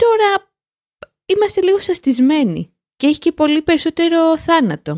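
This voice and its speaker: Speaking at an extremely high pitch with lively intonation, a woman keeps a moderate pace and very even loudness in a dry, close sound with no echo. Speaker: podcast co-host, language learning show. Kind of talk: casual chat. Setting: remote call.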